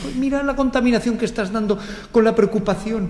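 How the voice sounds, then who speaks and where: Speaking at a fairly quick pace, a man sounds animated, with audible room echo around him. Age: 60s. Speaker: meditation teacher. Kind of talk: panel discussion.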